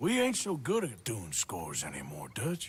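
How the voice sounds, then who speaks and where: A man in a raspy, put-on character voice at a medium pitch. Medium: video game. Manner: gruff, laconic.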